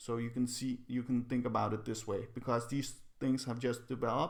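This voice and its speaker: The man's speech carries a non-native accent. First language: not English. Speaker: psychology video creator. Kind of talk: casual explainer video. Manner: halting, with repetitions.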